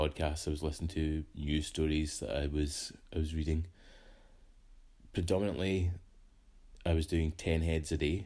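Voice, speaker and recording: Somewhat breathy and dark, mellow in tone, the voice moves at a moderate pace with long, frequent pauses and a monotone, flat intonation. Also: man. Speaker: artist. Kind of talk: casual talk to camera.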